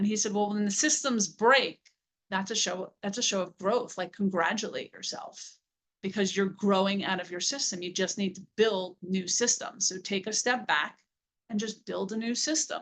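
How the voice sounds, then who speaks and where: This woman has a plain, everyday voice, with medium pitch and ordinary pitch variation, delivered at a moderate pace. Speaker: entrepreneur and business mentor. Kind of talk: presentation with Q&A on a networking call.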